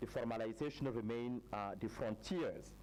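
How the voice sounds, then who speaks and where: This man has a French accent. His pace is moderate. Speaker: researcher presenting study findings. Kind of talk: conference presentation. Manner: halting, many fillers.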